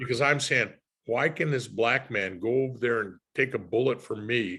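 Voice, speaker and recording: Here a man speaks with an American accent. His tone is bright and sharp, at a moderate pace. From Los Angeles, California. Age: 70s. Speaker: retired homicide detective. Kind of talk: conversational interview.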